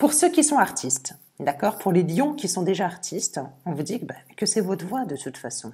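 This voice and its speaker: A woman speaks at a fairly quick pace in a somewhat breathy voice, her pitch swinging very widely. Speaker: tarot reader. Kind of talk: tarot reading video. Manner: occasional stammering; animated.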